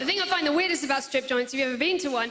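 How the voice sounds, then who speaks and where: A woman's voice amid noticeable background noise. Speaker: stand-up comedian. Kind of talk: stand-up comedy performance to a live audience.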